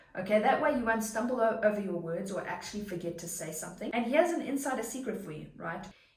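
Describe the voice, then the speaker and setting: The speech runs at a very fast pace with lively intonation and an animated tone. Audible room echo and noticeable background noise surround it. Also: woman, fairly high pitch for a woman, hardly any pauses, big swings in loudness. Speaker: online business coach and content creator. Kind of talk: tutorial.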